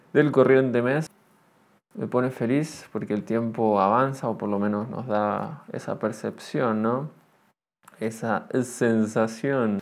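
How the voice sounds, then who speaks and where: A man speaks at a very slow pace with ordinary pitch variation, in a very clean recording with a silent background. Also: medium pitch for a man. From Argentina. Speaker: podcaster. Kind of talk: solo monologue podcast. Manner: halting, many fillers; tends to speak loudly.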